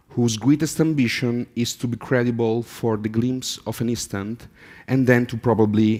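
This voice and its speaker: Speaking with an Italian accent, a man keeps a medium pitch, fairly even intonation and a moderate pace on a very clean recording with a silent background. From Italy. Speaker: artist. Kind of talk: conference talk. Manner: halting, with fillers.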